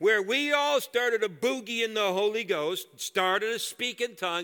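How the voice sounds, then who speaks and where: A man's raised, projected voice, high in pitch, bright and sharp in tone, with lively intonation. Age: 60s. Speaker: guest preacher. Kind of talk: sermon. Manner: animated.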